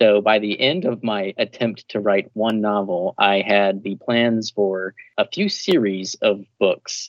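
Speaking at a fairly slow pace, a man with a fairly low pitch has an unremarkable speaking voice and ordinary pitch variation. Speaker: writer and panelist. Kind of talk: panel discussion.

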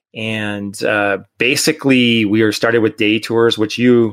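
This man has an unremarkable speaking voice, pitched fairly low, and talks at a moderate pace. The recording is very clean, with a silent background. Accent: American. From Connecticut, US. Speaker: mountain bike tour company owner. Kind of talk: casual interview.

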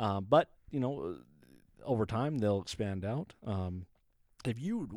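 A man with a plain, everyday voice speaks at medium pitch with lively intonation. The recording is very clean, with a silent background. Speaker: restaurant review podcast co-host. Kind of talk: casual banter.

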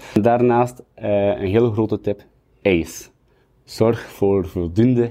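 With a dark, mellow tone, a man speaks at a fairly low pitch with fairly even intonation over a quiet background. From Belgium, West Flanders (Kortrijk). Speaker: sommelier and bartender. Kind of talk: tutorial.

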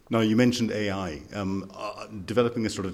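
The man's intonation is fairly even. He speaks very fast. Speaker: podcast host. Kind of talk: interview. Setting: conference venue.

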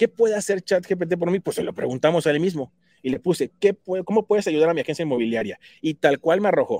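Very fast and lively, a man speaks in a high pitch, with a dry, close sound and no echo. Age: 40s. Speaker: tech speaker for realtors. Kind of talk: tutorial.

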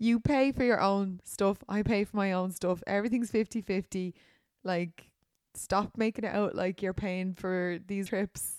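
In a Dublin accent, a woman talks at a fairly slow pace and medium pitch with fairly even intonation, on a very clean recording with a silent background and a dry, close sound with no echo. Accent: Irish, Dublin. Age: 30s. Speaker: podcast host, influencer. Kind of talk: casual chat.

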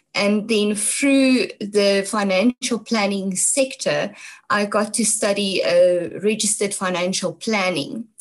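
Somewhat breathy, a woman speaks at a very slow pace with very even loudness and fairly even intonation. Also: medium pitch for a woman. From South Africa, North West (Brits). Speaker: environmental activist. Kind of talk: interview. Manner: hesitant, many fillers.

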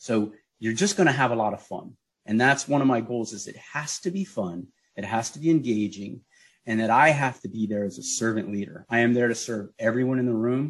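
At a fairly quick pace, a man talks in an ordinary speaking voice with medium pitch and ordinary pitch variation. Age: 50s. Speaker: teaching artist. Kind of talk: radio interview.

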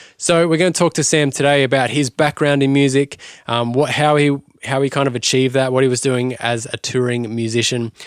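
Fairly quick and fairly even in intonation, a man with an Australian accent and medium pitch speaks in a very clean recording with a silent background. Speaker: music podcast host. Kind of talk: scripted narration; casual chat.

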